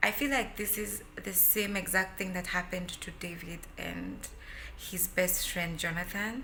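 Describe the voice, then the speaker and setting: Audible room echo and noticeable background noise accompany a woman speaking at a medium pitch and fairly slow pace with fairly even intonation. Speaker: vlogger. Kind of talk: casual chat. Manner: loud.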